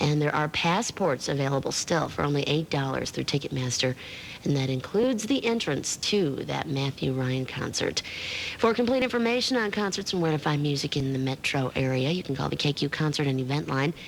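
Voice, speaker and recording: A woman talks at a fairly quick pace with lively intonation and a very deep, low pitch. Her loudness stays very even, and the background noise is noticeable. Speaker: radio disc jockey. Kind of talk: radio DJ patter. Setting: radio broadcast studio. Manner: casual, friendly.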